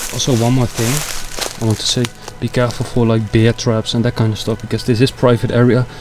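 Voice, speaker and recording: Noticeable background noise sits under speech that goes at a fairly quick pace. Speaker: urban explorer vlogger. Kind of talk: vlog commentary. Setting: outdoors.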